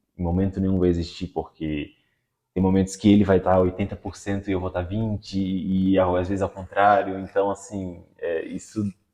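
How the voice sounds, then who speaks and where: This man's very deep, low voice has a dark, mellow tone and a flat, monotone delivery. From Florianópolis, Santa Catarina, Brazil. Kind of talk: casual interview chat. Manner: fast.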